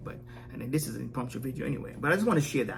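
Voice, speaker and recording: Music in the background and audible room echo surround a man as he speaks. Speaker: wellness vlogger. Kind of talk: impromptu vlog monologue. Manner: fast; halting, many fillers and repeats.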